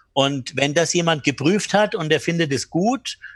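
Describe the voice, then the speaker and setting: Using an ordinary speaking voice, a man talks fairly slowly at a fairly high pitch with lively intonation. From Bamberg, Franconia, Germany. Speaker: hotelier and business trainer. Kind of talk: interview.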